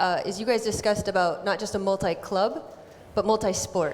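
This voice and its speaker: Over noticeable background noise and audible room echo, a woman with an American accent talks very fast at medium pitch, her intonation fairly even. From United States. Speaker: panel moderator. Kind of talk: panel discussion. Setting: stage with audience.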